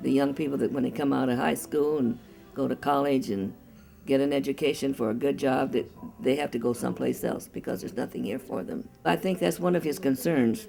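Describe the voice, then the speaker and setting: A woman talks at a fairly quick pace with a very deep, low pitch and very wide pitch swings. Music plays in the background. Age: 80s+. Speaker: campaign precinct captain. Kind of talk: interview answer.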